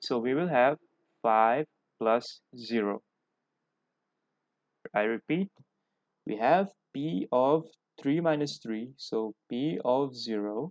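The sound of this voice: At a slow pace with long, frequent pauses, a man talks at medium pitch with lively intonation. His slightly mellow tone comes through a dry, close sound with no echo.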